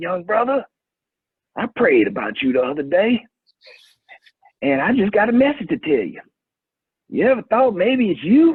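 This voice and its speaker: A man puts on a raspy character voice, high in pitch, with very wide pitch swings. He talks at a moderate pace, broken by long, frequent pauses. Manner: earnest, pastoral.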